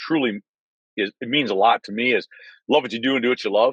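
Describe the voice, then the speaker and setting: With an American accent and a medium pitch, a man talks at a very fast pace in a dry, close sound with no echo and a quiet background. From Michigan, US Midwest. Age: 60s. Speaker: sales rep. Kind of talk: casual chat. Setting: video call from his car.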